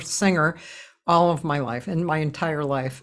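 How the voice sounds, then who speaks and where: In a very clean recording with a silent background, a woman with an American accent uses an unremarkable speaking voice, speaking at a fairly slow pace with ordinary pitch variation. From Boston. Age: 60s. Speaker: jazz singer and talk show host. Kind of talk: casual interview chat.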